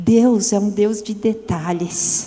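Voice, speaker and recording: Over crowd noise in the background, a woman speaks at a very slow pace with medium pitch and ordinary pitch variation. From Brazil, São Paulo. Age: 60s. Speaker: women's ministry speaker. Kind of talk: sermon.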